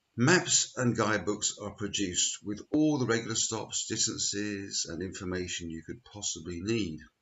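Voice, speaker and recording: Here is a man with a plain, everyday voice at a fairly low pitch. He moves at a moderate pace with ordinary pitch variation and hardly any pauses. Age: 60s. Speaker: church lay preacher. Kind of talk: spoken reflection. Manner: measured.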